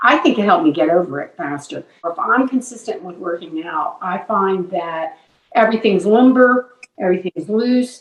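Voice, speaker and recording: At a moderate pace, a woman with a medium pitch talks with lively intonation and big swings in loudness. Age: 60s. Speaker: longtime gym member. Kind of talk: interview. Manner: halting.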